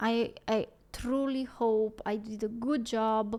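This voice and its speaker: The recording is very clean, with a silent background. A woman with a non-native accent speaks at a fairly high pitch in a monotone, flat intonation. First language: not English. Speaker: music reaction YouTuber. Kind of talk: casual reaction video outro. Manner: halting.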